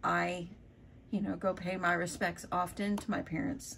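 A woman speaks in a somewhat breathy voice. Light background noise can be heard. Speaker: crafter vlogger. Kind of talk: casual vlog chat. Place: home room. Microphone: phone near.

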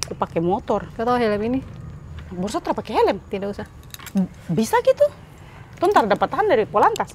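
The speaker, with a Papuan accent, uses very wide pitch swings and long, frequent pauses. Light background noise is present. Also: woman, fairly high pitch for a woman, fairly quick pace. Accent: Papuan Indonesian. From Papua, Indonesia; Indonesia. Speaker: vlogger. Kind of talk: casual vlog. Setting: airport and hotel, on the go. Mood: playful, curious. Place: street. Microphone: lapel.

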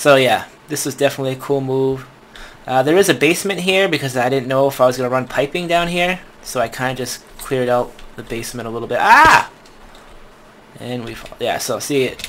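The speech moves at a fairly quick pace with ordinary pitch variation and big swings in loudness, against noticeable background noise. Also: man, medium pitch for a man. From US Northeast. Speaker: gaming YouTuber. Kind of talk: gameplay commentary. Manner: casual, rambling with fillers.

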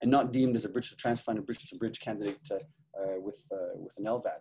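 At a fairly quick pace, a man delivers his words. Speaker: presenter. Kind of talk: lecture. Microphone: webcam.

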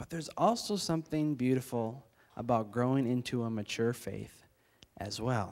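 A moderate pace marks the delivery. The voice belongs to a man. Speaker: preacher or church leader. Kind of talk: sermon. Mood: calm, reflective. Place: church. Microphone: handheld.

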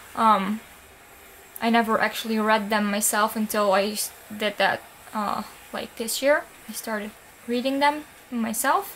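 With a non-native accent, a woman speaks at a fairly high pitch and a fairly slow pace, using fairly even intonation. She leaves long, frequent pauses, and light background noise is present. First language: not English. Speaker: book vlogger. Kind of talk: casual talk to camera. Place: home room. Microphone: webcam.

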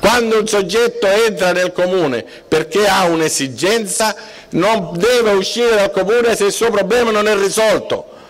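Over noticeable background noise, a man talks at a moderate pace with a high pitch and ordinary pitch variation. His loudness stays very even. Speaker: mayoral candidate, lawyer. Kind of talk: political rally speech. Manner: emphatic.

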